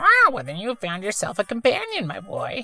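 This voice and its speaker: A put-on character voice comes out gruff and strained. It keeps a moderate pace. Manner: warm, fatherly.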